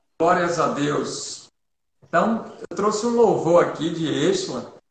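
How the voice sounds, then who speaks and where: The speech is very slow, with ordinary pitch variation and audible room echo. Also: man, high pitch for a man. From Bahia, Brazil (Feira de Santana). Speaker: pastor. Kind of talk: church livestream talk and prayer. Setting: online livestream. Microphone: too quiet.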